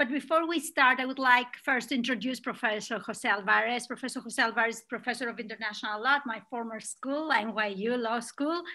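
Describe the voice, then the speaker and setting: A woman's high-pitched voice, bright and sharp in tone, with ordinary pitch variation, a fairly quick pace, hardly any pauses, and a quiet background. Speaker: webinar moderator. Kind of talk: introduction of speakers. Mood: warm, smiling. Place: home room. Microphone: webcam.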